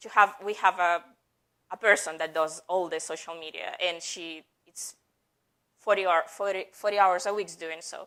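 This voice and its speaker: Her fairly low, bright and sharp voice stays monotone and flat at a moderate pace, while the woman's loudness swings widely. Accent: non-native. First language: not English. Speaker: head of marketing at a software company, conference speaker. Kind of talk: conference talk.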